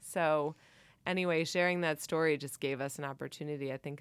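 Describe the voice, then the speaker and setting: A woman with a Cincinnati accent, monotone and flat, on a very clean recording with a silent background. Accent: Cincinnati Midwestern, mild. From Cincinnati, Ohio. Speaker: church vestry member and committee member. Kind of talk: casual interview conversation. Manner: hesitant, filler-heavy, laughs often.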